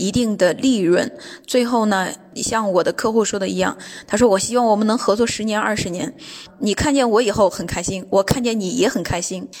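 The pitch sits fairly high for this woman, with ordinary variation. She keeps up a fairly quick pace. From China. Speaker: businesswoman on a sales trip. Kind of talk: personal account. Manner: hesitant with many fillers.

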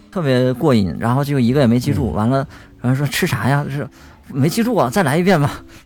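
Noticeable background noise sits under a man speaking at a very fast pace. His medium pitch moves with lively intonation. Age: young. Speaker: blind podcast team member. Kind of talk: casual chat.

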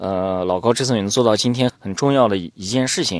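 The recording is very clean, with a silent background. A man speaks at a moderate pace in a fairly low pitch, with ordinary pitch variation. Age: 30s. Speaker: podcast host. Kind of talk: interview podcast. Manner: hesitant, many fillers.

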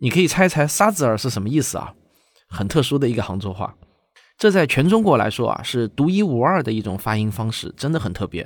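At a fairly quick pace, a man with a medium-pitched voice makes very wide pitch swings on a very clean recording with a silent background. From Shaoxing, Zhejiang, China. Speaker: science communicator and documentary director. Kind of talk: event announcement to viewers.

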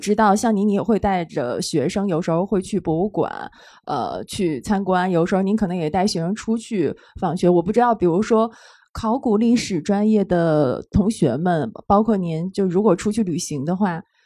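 On a very clean recording with a silent background, a woman speaks at a moderate pace and medium pitch, her tone dark and mellow and her intonation lively. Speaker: live event host and editor. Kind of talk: live panel discussion with audience. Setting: stage with audience.

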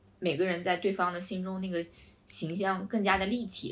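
The woman has a medium pitch. She speaks at a fairly quick pace. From China. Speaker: podcast co-host. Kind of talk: casual chat.

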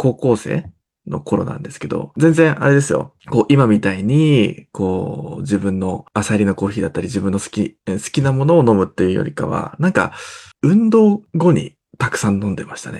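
A man with a Japanese accent talks very fast in a dark, mellow tone, with very wide pitch swings and big shifts in loudness. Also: medium pitch for a man. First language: Japanese (speaking Chinese). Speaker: barista and coffee roaster. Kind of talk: casual chat.

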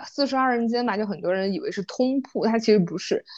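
A woman with a fairly high pitch and ordinary pitch variation speaks against a quiet background. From Yunnan, Mangshi (Dehong). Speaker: podcast co-host. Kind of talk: casual chat. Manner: animated storytelling.

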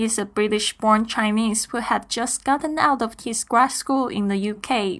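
A woman with a Mandarin accent, fairly slow and fairly even in intonation, on a very clean recording with a silent background. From Taiwan. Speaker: podcast host. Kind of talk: scripted monologue.

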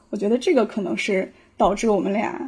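With lively intonation and a somewhat breathy quality, the voice keeps a moderate pace. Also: woman. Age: 30s. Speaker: psychological counselor. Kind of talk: casual discussion. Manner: hesitant, many fillers.

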